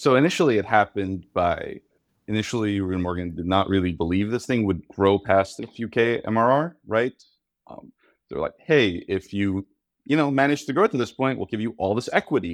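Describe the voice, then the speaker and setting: With a plain, everyday voice, a man talks at a fairly low pitch and a fairly quick pace with lively intonation, in a dry, close sound with no echo against a quiet background. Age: 20s. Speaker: startup founder and software engineer. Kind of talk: casual interview.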